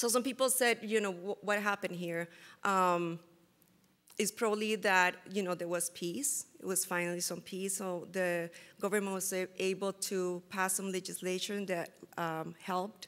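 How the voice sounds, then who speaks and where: A woman speaks with a Spanish accent. Her pitch is medium and her pace moderate. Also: fairly even intonation. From Costa Rica. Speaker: food security researcher; presenter. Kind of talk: conference presentation. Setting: stage with audience. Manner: halting. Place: hall.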